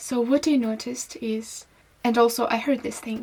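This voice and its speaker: Fairly slowly and with ordinary pitch variation, a woman with a non-native accent speaks at a high pitch with a dark, mellow tone. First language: not English. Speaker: singer-songwriter and vlogger. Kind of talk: casual vlog monologue. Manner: halting.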